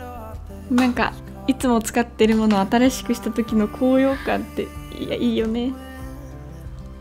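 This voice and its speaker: A woman talks at a fairly slow pace while faint music plays in the background. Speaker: lifestyle vlogger. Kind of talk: casual vlog narration. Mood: relaxed, cheerful.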